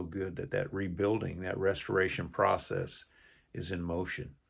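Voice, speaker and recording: A man speaks at a very deep, low pitch with vocal fry. The background is quiet. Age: 60s. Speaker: YouTuber sharing faith and life lessons. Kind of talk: personal testimony. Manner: halting.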